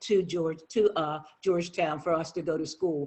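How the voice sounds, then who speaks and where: The intonation stays flat and monotone. The speaker has an American accent. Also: man. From Lewes, Delaware, US. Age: 60s. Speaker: educator. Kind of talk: personal testimony at commission meeting.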